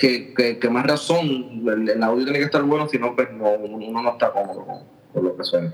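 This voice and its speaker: Speaking in a Puerto Rican accent, a man talks at a moderate pace in a medium pitch with ordinary pitch variation. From Puerto Rico, Aguadilla. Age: 30s. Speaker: drummer. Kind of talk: casual chat.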